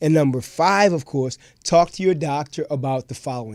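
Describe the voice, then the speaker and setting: The recording is very clean with a silent background and a dry, close sound with no echo. A man speaks at a fairly high pitch and a moderate pace with ordinary pitch variation. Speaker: doctor hosting a health Q&A show. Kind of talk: podcast Q&A answering viewer questions. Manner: animated, enthusiastic.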